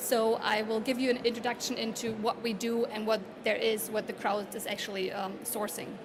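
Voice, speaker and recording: A woman's fairly high voice with a German accent and fairly even intonation, plus noticeable background noise and audible room echo. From Germany. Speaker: conference speaker. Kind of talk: conference presentation. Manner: halting.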